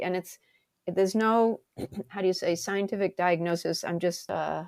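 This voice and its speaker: A woman with an American accent talks at a fairly quick pace and a medium pitch. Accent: Boston accent, mostly toned down. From Massachusetts, Brockton (Boston area). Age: 70s. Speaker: stand-up comedian. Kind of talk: casual chat. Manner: animated.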